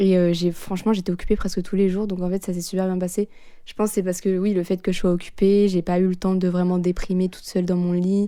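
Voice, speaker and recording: The speech is very fast, flat and monotone, with a dark, mellow tone. The recording is very clean, with a silent background. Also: woman, medium pitch for a woman. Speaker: former exchange student. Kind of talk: interview. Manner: casual, fast.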